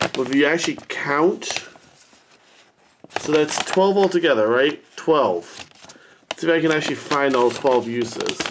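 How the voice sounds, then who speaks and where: The speech moves at a moderate pace, broken by long, frequent pauses. Noticeable background noise runs underneath. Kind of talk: casual build review chat. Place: home room. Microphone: phone near.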